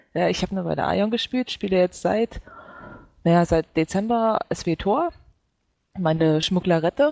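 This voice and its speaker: With long, frequent pauses, a woman speaks at a moderate pace in a dark, mellow tone of medium pitch, her pitch varying in an ordinary way, the sound dry and close with no echo. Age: 20s. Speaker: gaming site intern. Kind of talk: casual chat.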